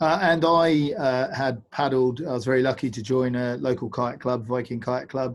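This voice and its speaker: A man talks in a southern English accent. He leaves hardly any pauses. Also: medium pitch for a man, ordinary pitch variation, moderate pace. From England, Bedford. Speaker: paddling instructor and adventure company owner. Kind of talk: online presentation. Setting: video call.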